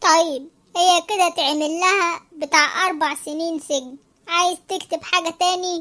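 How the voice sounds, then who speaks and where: A woman's cartoonish character voice at an extremely high pitch, with fairly even intonation and a fairly slow pace. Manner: impatient, sardonic.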